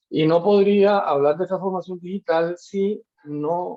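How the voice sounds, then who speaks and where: Slowish and fairly unhurried, a man speaks at a high pitch with a dark, mellow tone and ordinary pitch variation. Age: 60s. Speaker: university lecturer. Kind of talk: lecture. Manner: halting, many fillers.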